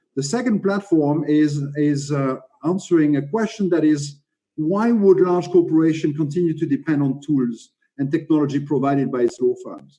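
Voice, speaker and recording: With a French accent, a man at fairly high pitch speaks at a moderate pace in a dark, mellow tone. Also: ordinary pitch variation. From France. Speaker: legal tech panelist. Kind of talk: panel presentation. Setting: video call. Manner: halting, many fillers.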